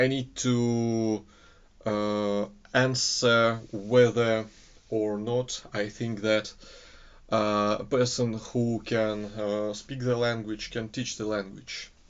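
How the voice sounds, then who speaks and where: A man speaks at a very slow pace with a Russian accent, his medium-pitched voice held in a flat, monotone intonation. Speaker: English teaching student. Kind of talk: recorded course assignment monologue. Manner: halting, many filler sounds.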